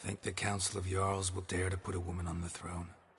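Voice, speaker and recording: Using a put-on character voice, a man delivers a deadpan tone in a very deep, low pitch with monotone, flat intonation at a very fast pace. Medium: video game. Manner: terse, deadpan.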